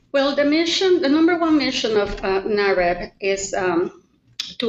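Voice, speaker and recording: A woman speaks at a fairly slow pace with a Spanish accent. Her pitch makes very wide swings. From Mexico. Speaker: realtor. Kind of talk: interview.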